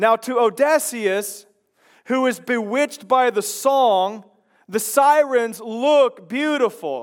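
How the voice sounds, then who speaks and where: Speaking at a very slow pace, a man with an American accent has an extremely high pitch. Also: ordinary pitch variation. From Chicago. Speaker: pastor. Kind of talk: sermon. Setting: church.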